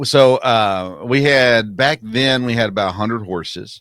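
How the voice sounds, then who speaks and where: This is a man talking with a Tennessee accent. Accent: US Southern (Tennessee). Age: 40s. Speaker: sports podcast host. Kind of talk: casual interview chat.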